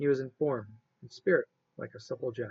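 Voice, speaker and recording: Soft-spoken and calm in tone, a man talks with vocal fry and ordinary pitch variation. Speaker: amateur reader. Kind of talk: read story. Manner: calm, steady, soft-spoken.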